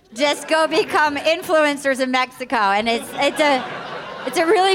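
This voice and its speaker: A woman speaks at a fairly slow pace in a high pitch, with an American accent and lively intonation. Crowd noise can be heard in the background. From Rhode Island / Fall River, Massachusetts. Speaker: comedian. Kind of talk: live comedy panel banter. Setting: stage with audience.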